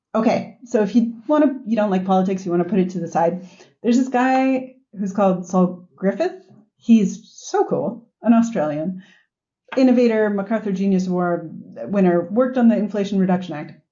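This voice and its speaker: Somewhat breathy, a woman with an American accent talks at medium pitch and a moderate pace, with ordinary pitch variation. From US. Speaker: sustainability executive. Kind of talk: podcast interview. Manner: animated.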